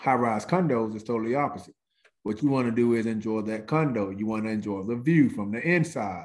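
Animated and at a fairly quick pace, a man speaks at a medium pitch on a very clean recording with a silent background. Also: ordinary pitch variation. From US South, Mississippi. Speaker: real estate agent, former college football player. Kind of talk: casual podcast interview.

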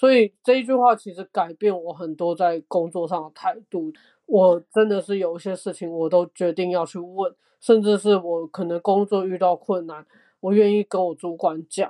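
In a plain, everyday voice, the speaker goes at a moderate pace with fairly even intonation and big swings in loudness, in a dry, close sound with no echo. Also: woman, medium pitch for a woman. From Taiwan. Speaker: digital learning designer. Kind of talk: casual chat.

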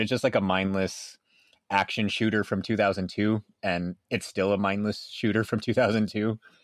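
On a very clean recording with a silent background, a man with a plain, everyday voice speaks at a fairly low pitch and moderate pace, the sound dry and close with no echo. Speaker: podcast co-host. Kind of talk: casual chat.

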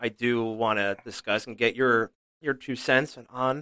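A bright, sharp tone comes through. There is no echo, leaving a dry, close sound. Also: man. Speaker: podcast host. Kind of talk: casual chat about cigars, whiskey and sports. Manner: rambling, filler-heavy.

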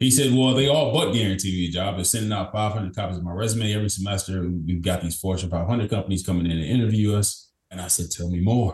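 Somewhat breathy speech delivered at a very fast pace. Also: man, fairly low pitch for a man, ordinary pitch variation. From Kentucky, small town. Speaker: business consultant. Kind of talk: interview conversation. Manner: energetic, upbeat.

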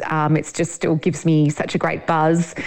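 A woman with an Australian accent talks at a fairly slow pace. Her pitch is fairly low. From Sydney, Australia. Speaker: journalist and farmer. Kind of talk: interview. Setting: studio.

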